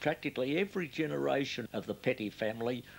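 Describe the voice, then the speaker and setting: A man talks fairly quickly at a medium pitch, with vocal fry. His pitch swings very widely. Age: 80s+. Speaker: fruit grower. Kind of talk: interview answer.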